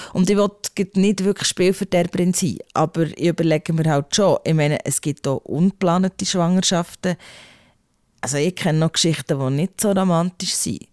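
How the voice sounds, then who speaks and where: A woman speaks in an unremarkable speaking voice, fairly low-pitched and at a moderate pace, with fairly even intonation. The sound is dry and close with no echo, in a very clean recording with a silent background. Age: 40s. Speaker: podcast host. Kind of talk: casual chat.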